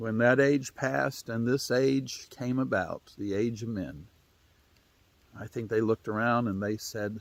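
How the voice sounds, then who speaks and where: A man speaks at a fairly slow pace in an Appalachian accent, his medium pitch showing ordinary variation. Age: 60s. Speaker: storyteller. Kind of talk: storytelling. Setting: outdoors.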